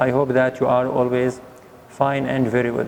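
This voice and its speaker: Monotone, flat delivery over noticeable background noise. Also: man. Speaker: English teacher. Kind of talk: lesson.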